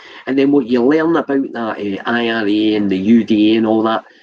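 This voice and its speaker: In a Scottish accent, a man talks at a moderate pace and a medium pitch. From Scotland. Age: 60s. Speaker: vlogger. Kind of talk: livestream rant. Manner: animated; halting.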